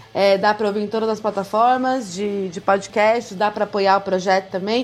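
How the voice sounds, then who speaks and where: Music plays in the background as a woman talks at a fairly quick pace. Her intonation stays fairly even. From interior of São Paulo state, Brazil (Campinas). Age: 30s. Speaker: lawyer and gender equity consultant. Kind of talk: podcast interview.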